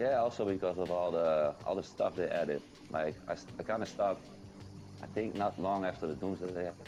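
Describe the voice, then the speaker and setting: A man speaks at a fairly quick pace in a very deep, low voice with ordinary pitch variation and very even loudness. Music plays in the background. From Netherlands. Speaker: gaming content creator. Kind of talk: podcast interview.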